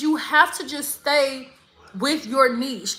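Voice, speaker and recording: With an American accent, a woman uses a raised, projected voice and lively intonation. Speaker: spa business coach and YouTuber. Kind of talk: livestream Q&A with viewers. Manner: fast, casual, with some stumbling.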